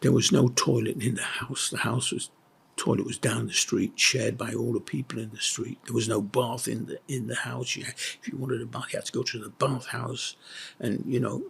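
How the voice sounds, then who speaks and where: A man with a Yorkshire accent talks at a fairly quick pace. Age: 80s+. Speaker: retired school headmaster. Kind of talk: interview recollection. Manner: halting, with many fillers.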